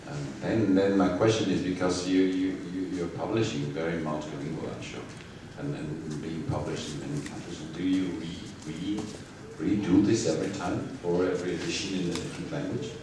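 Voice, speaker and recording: Speaking at a fairly quick pace, a man with a very deep, low voice and ordinary pitch variation comes through audible room echo and noticeable background noise. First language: Georgian. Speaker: publisher / moderator. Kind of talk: public lecture Q&A conversation. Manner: halting, many repetitions.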